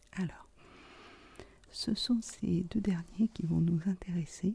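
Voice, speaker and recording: A woman's somewhat breathy voice with a dark, mellow tone and ordinary pitch variation. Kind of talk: ASMR video talk to camera. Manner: soft-spoken, whispered.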